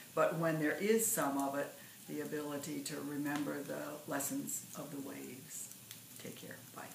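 The speech comes at a moderate pace, with audible room echo and light background noise. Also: woman. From US Great Lakes, northern Michigan. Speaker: poet. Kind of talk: poetry reading; casual talk to camera. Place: home room. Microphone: phone near.

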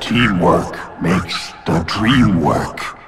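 A raspy, put-on character voice carries the clip. Clear music plays in the background. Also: man, very deep, low pitch for a man. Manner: halting, slow.

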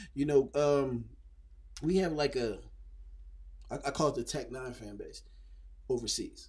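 A man with an American accent speaks at a fairly slow pace. His loudness swings widely against a quiet background. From Phoenix, Arizona; Arizona. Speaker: rapper; podcast guest. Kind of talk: casual interview. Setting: studio. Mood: relaxed, animated. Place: studio. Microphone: studio mic.

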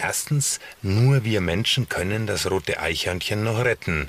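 Against light background noise in a dry sound with no echo, a man speaks at a fairly slow pace in a fairly low pitch with lively intonation. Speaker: presenter. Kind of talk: documentary piece to camera. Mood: serious, concerned. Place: car.

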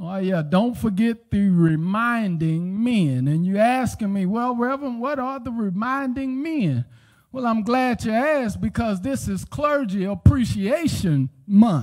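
Against a quiet background, a man speaks fairly slowly in a high pitch. His intonation is lively. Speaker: pastor. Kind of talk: sermon. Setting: church. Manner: animated; call-and-response preaching, urgent and exhorting. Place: church. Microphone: handheld.

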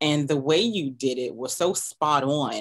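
The speaker is a woman. Behind her, the background is quiet. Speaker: podcast host interviewer. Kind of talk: interview question and commentary. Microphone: headset.

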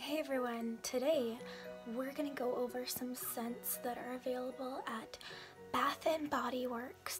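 Over clear background music, a woman with a high voice speaks at a fairly slow pace with ordinary pitch variation. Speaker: beauty haul vlogger. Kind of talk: ASMR product haul chat. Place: home room.

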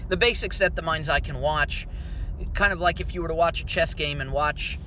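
A man with an American accent talks at a fairly quick pace, the sound dry with no echo and noticeable background noise present. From US, town without an NBA team. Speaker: basketball commentator. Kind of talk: monologue. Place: car. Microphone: phone near.

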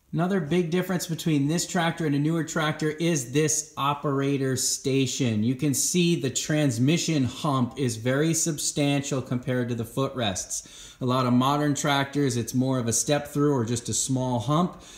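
At a moderate pace, a man speaks with ordinary pitch variation and very even loudness, with audible room echo. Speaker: tractor owner reviewer. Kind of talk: tutorial. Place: garage. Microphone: phone near.

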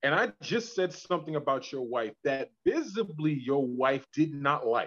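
The man speaks over a quiet background. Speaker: podcast guest. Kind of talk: casual discussion. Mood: animated, opinionated. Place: home room. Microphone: video call.

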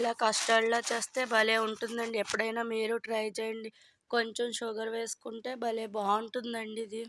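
With a monotone, flat intonation, a woman talks at a fairly high pitch. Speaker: vlogger. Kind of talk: casual vlog narration.

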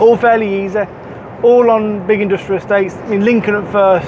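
Over noticeable background noise, a man speaks at a moderate pace with fairly even intonation in a dry sound with no echo. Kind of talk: casual vlog chat. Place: car.

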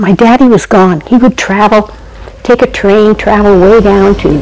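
The speaker moves at a fairly slow pace with lively intonation. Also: woman. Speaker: storyteller. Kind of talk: devotional storytelling. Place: home room. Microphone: lapel.

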